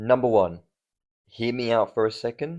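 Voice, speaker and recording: Animated in tone, a man speaks at a medium pitch with an Australian accent. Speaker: MMA commentator. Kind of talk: casual commentary.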